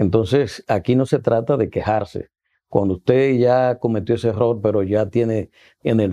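This man's voice has a dark, mellow tone at a medium pitch, with fairly even intonation. He talks at a moderate pace over a quiet background. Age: 60s. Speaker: former health minister. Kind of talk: interview. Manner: halting.

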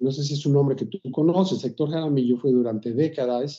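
Here a man uses a normal speaking voice, moderate in pace with ordinary pitch variation. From Mexico City. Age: 60s. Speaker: composer. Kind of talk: interview.

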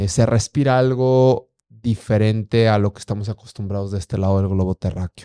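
The sound is dry and close with no echo over a quiet background as a man speaks at a moderate pace. His fairly low voice has a dark, mellow tone and fairly even intonation. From Durango, northern Mexico. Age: 30s. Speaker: blind mountaineer and ultramarathon runner. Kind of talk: interview testimony.

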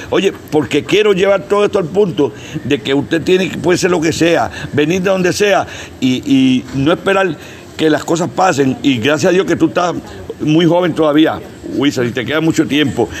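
Against noticeable background noise, a man with a Puerto Rican accent speaks at a moderate pace in a fairly high pitch with ordinary pitch variation. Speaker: wrestling promoter. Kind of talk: interview. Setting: on location in Vieques.

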